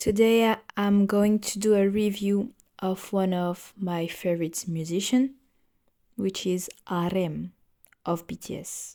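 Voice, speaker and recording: Recorded very cleanly with a silent background, a woman with a non-native accent speaks fairly slowly in a dark, mellow tone at medium pitch, her intonation fairly even. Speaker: podcast host. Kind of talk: casual music review podcast. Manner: halting, with fillers.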